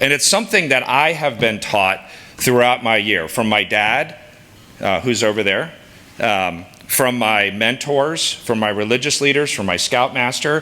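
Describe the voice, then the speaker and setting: A man speaks loudly in an animated tone at a moderate pace. Noticeable background noise sits behind him. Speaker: sales executive and scout leader. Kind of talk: speech to an audience. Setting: stage with audience.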